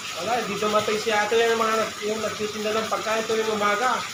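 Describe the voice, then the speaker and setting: The voice is monotone and flat, moving at a very fast pace. Audible room echo and noticeable background noise are present. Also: man. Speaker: vlogger. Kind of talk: casual vlog chat. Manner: soft, quiet. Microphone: no external mic, voice sounds quiet.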